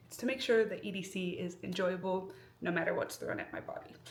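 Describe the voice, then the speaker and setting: A woman talks at a fairly quick pace with an American accent. Noticeable background noise and audible room echo surround her voice. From US Midwest. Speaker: vlogger and nurse. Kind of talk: casual vlog. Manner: fast.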